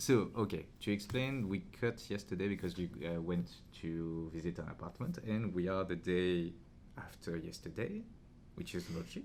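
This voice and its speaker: A man's very deep, low voice in a French accent, at a moderate pace with ordinary pitch variation. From France, near Paris. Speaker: podcast host. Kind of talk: casual chat. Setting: podcast interview.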